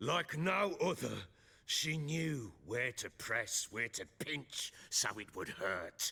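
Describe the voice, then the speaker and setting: A man's put-on character voice, raspy and fairly high-pitched, with very wide pitch swings at a very slow pace. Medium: video game. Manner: gruff, bitter.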